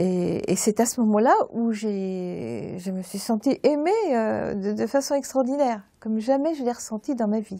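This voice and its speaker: The tone is dark and mellow, and the pace is fairly slow. There are hardly any pauses. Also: woman, fairly high pitch for a woman, ordinary pitch variation. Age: 70s. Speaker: churchgoer giving testimony. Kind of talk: testimony. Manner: halting.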